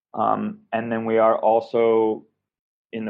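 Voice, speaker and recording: At a moderate pace, a man speaks in a normal speaking voice, fairly low in pitch. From US Pacific Northwest, Seattle. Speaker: recovery entrepreneur, recovering addict. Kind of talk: interview.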